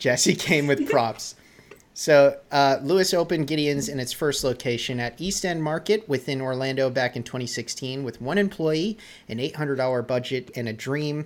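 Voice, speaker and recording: In an American accent, a man with a fairly high pitch uses an ordinary speaking voice, moving at a moderate pace with ordinary pitch variation. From New England, near Boston. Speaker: podcast host. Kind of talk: casual interview.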